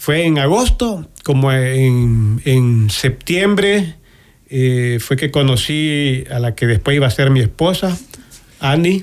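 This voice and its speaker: A man's fairly high-pitched voice at a very slow pace, with lively intonation and very even loudness. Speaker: guest sharing life testimony. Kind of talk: testimony. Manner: halting.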